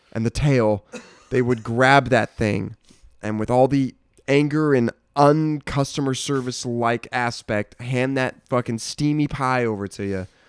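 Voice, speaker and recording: This man has an unremarkable speaking voice, talking at a fairly slow pace with fairly even intonation. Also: medium pitch for a man, dry, close sound with no echo. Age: 20s. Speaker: podcast co-host. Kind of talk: casual chat.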